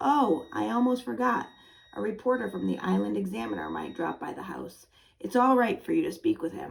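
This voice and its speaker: Using a put-on character voice, a woman rasps along at a fairly quick pace with big swings in loudness. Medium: read story. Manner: earnest, breezy.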